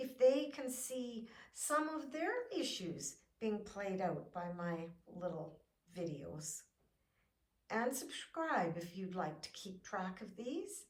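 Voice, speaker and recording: Her pitch swings very widely as this woman speaks. The pace is very slow and the voice somewhat breathy. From Canada. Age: 70s. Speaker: fitness vlogger. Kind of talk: encouraging video talk.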